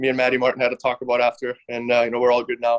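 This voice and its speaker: A man talks at a medium pitch. The sound is dry and close, with no echo. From Germany. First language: German. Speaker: professional hockey player. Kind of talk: podcast interview.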